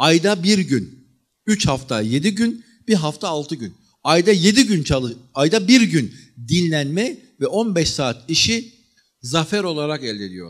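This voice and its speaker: Over a quiet background, a man talks in an animated tone at a fairly slow pace, his pitch swinging very widely. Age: 40s. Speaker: history lecturer. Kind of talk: lecture. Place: hall. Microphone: handheld.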